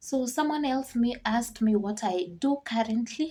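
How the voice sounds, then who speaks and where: A woman speaks at a moderate pace with lively intonation. Her tone is dark and mellow and somewhat breathy. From Kenya. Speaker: vlogger and farmer. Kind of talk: casual vlog Q&A.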